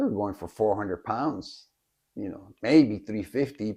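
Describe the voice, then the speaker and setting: In a dark, mellow tone, a man with an American accent speaks with lively intonation over a quiet background. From Miami, Florida. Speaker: concert fan. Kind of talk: personal storytelling interview. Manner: halting, with fillers and restarts.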